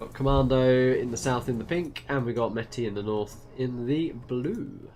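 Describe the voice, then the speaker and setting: Noticeable noise runs behind a voice whose pitch moves in an ordinary way. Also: man, medium pitch for a man, moderate pace. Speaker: game tournament caster. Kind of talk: live commentary.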